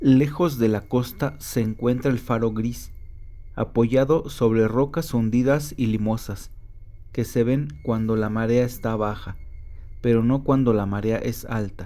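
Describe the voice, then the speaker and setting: Delivered at a fairly slow pace, this voice carries a dark, mellow tone and ordinary pitch variation. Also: man, medium pitch for a man. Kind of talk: audiobook story narration.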